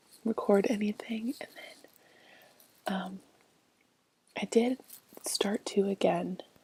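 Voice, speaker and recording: A soft-spoken woman at a very slow pace, with fairly even intonation and long, frequent pauses. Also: medium pitch for a woman, big swings in loudness. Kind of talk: ASMR makeup rummaging video.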